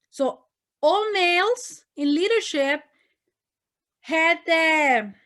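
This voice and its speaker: A woman talks with a Spanish accent and lively intonation. The recording is very clean, with a silent background. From northern Mexico, Monterrey. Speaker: missionary. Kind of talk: testimony. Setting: ministry meeting talk. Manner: repetitive fillers, animated.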